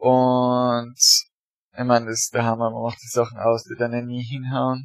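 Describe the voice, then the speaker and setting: His voice is medium in pitch. The man's delivery moves at a moderate pace. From Austria, rural area near Graz. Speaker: emigrant interviewee. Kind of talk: casual interview. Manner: halting, many fillers.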